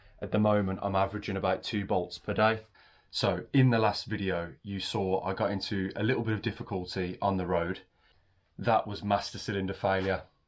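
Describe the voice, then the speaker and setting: In a very clean recording with a silent background, a man with a British accent speaks at a fairly low pitch and fairly quick pace with fairly even intonation. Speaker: car mechanic youtuber. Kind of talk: tutorial. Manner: soft-spoken.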